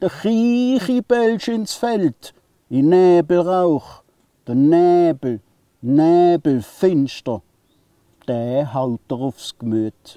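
With an Alemannic accent, a man talks at a very slow pace in a high pitch for a man, his tone dark and mellow, the sound dry with no echo against a quiet background. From southwest Germany, Alemannic region. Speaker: poet. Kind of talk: poetry reading. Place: forest.

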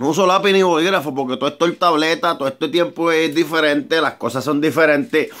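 Over a quiet background, a man with a fairly high pitch talks at a fairly quick pace with ordinary pitch variation. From Puerto Rico. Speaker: amateur songwriter and vlogger. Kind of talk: casual vlog monologue. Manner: rambling, repetitive and halting. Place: garage. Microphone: phone near.

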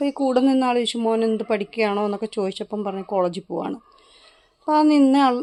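The sound is dry and close with no echo. A woman with an ordinary speaking voice and a fairly high pitch talks with lively intonation. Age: 40s. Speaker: YouTube gardening vlogger, plant seller. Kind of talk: casual vlog talk. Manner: chatty, conversational.

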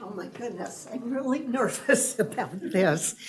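Here is a woman with an American accent. Her pitch varies in an ordinary way. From Elk Grove, California, US. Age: 80s+. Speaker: public commenter. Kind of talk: public comment at council meeting. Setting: city council chamber.

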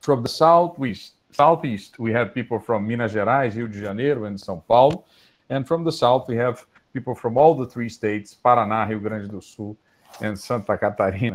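Speaking at a moderate pace with a Portuguese accent, a man shows ordinary pitch variation and big swings in loudness. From Brazil. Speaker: physics professor, webinar moderator. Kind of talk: formal moderation. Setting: video call. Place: home room. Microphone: earbuds.

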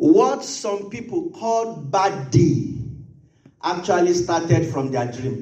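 A man with a high pitch and a dark, mellow tone speaks very slowly. His pitch swings very widely. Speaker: pastor. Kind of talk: sermon. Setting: church. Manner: fervent, rhythmic, repeating phrases; loud, urgent pleading in prayer.

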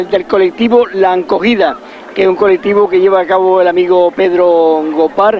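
A man speaks at a moderate pace with a high pitch and ordinary pitch variation. The sound is dry with no echo, with light background noise. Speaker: local event commentator. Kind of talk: live commentary. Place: street.

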